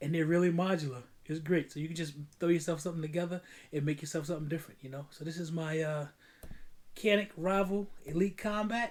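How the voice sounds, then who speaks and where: A man talks very fast with a New York accent. His pitch is fairly high and his intonation fairly even. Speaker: firearms YouTuber. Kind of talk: casual video outro. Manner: stumbling over words.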